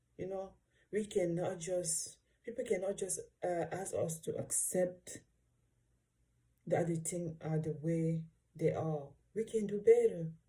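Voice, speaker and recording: The voice is somewhat breathy, with a dark, mellow tone and fairly even intonation. It moves at a fairly slow pace with long, frequent pauses. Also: woman, fairly low pitch for a woman. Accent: African. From Africa. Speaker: vlogger. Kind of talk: reaction video monologue. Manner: halting.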